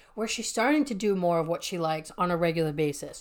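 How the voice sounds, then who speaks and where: The recording is very clean with a silent background as a woman talks in an animated tone. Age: 20s. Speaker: life coach. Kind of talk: solo podcast monologue.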